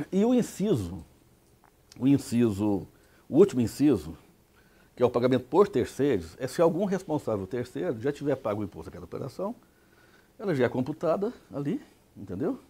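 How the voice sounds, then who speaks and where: The voice moves at a fairly quick pace with a dark, mellow tone, vocal fry and very wide pitch swings. Long pauses come often. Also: man, medium pitch for a man. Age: 60s. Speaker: tax expert lecturer. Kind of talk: lecture. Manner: conversational, rhetorical questions.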